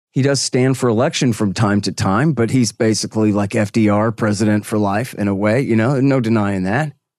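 A man with a fairly low voice speaks in an ordinary speaking voice at a fairly quick pace, with hardly any pauses. His intonation is fairly even, his loudness very even, and the background is quiet. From Texas. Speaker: foreign policy commentator and radio host. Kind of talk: interview.

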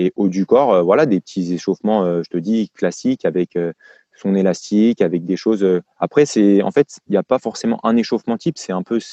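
A voice with a dark, mellow tone moves at a fairly quick pace, with a dry, close sound, no echo, and a quiet background. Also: man, fairly low pitch for a man, ordinary pitch variation. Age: 20s. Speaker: tennis fitness coach. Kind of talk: casual interview. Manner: hesitant, many fillers.

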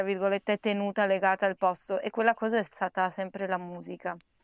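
This woman has an unremarkable speaking voice at medium pitch, with fairly even intonation. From Trieste, Italy. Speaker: singer. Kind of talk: conversational interview.

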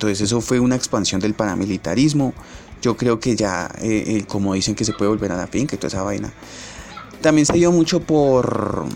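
A man speaks quite quickly at a fairly low pitch, his intonation lively. Noticeable background noise runs underneath. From Colombia, Bogotá. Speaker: podcaster. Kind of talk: casual monologue. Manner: halting, many fillers.

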